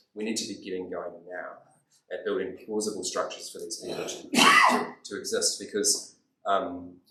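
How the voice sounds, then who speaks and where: There is audible echo from the room. The man's delivery moves at a moderate pace. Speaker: theology college president and lecturer. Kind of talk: lecture. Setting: training day talk with audience at tables.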